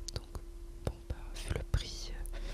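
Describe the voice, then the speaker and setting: A woman whispers over noticeable background noise. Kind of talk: ASMR gameplay commentary. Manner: whispered.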